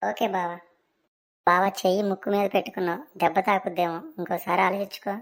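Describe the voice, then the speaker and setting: In a put-on character voice that is raspy, the speaker talks at a moderate pace with fairly even intonation, on a very clean recording with a silent background. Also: woman, medium pitch for a woman. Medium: cartoon. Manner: polite, deferential.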